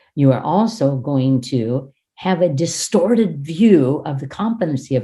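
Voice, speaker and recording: A woman's somewhat breathy voice sits at a very deep, low pitch yet makes very wide pitch swings. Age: 60s. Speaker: education trainer. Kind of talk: classroom teaching demonstration; lecture.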